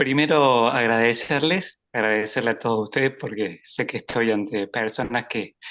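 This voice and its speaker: Against a quiet background, a man speaks at a medium pitch and a fairly slow pace with ordinary pitch variation. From Argentina, Córdoba. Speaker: bicycle mechanic, participant. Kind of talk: question in discussion group. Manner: halting, many fillers.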